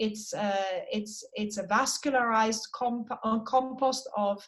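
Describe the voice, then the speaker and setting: At a fairly slow pace, a woman speaks with a fairly high pitch and fairly even intonation. Her voice is somewhat breathy. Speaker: periodontal surgeon presenting cases. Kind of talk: online case presentation. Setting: video call.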